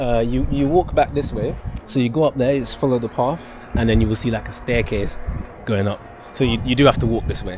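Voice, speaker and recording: The speaker talks at a fairly quick pace with ordinary pitch variation over noticeable background noise. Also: man, medium pitch for a man. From Dominica. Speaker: travel vlogger. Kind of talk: travel vlog narration; casual chat. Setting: outdoors.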